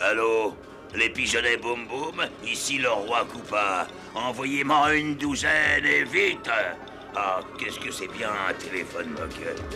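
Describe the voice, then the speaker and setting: A cartoonish character voice moves at a fairly slow pace. Clear background noise runs underneath. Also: man, medium pitch for a man. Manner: gloating, theatrical villainy.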